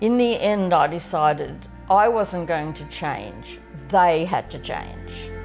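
With faint music in the background, a woman with an Australian accent speaks very slowly, her loudness swinging widely. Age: 70s. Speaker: farmer. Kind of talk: documentary interview answer. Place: home room.

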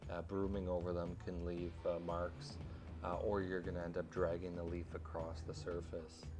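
Clear music plays in the background as a man talks at a moderate pace. His voice is very deep and low. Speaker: concrete contractor. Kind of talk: tutorial. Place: street.

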